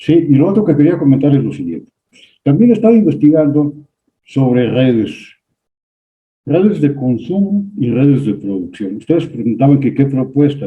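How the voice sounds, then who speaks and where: Very wide pitch swings mark a man's fairly high voice. He speaks at a moderate pace. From Mexico. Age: 70s. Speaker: audience participant. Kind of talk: online seminar discussion.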